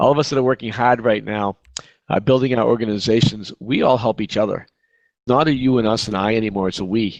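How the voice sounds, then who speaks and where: A man with a Boston accent talks at a fairly quick pace. His pitch is medium with ordinary variation, and the sound is dry and close with no echo. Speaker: real estate agent, team leader. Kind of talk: virtual conference talk. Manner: fast.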